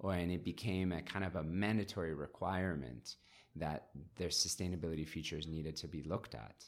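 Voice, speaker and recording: Vocal fry marks this man's very deep, low voice as he speaks at a fairly quick pace with ordinary pitch variation. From Hong Kong. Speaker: entrepreneur. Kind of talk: interview.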